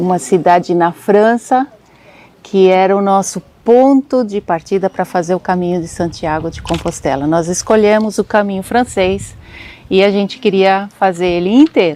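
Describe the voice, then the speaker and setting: Soft-spoken and at a moderate pace, a woman talks in a dark, mellow tone, her pitch medium and its variation ordinary. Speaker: travel vlogger. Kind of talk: travel storytelling vlog.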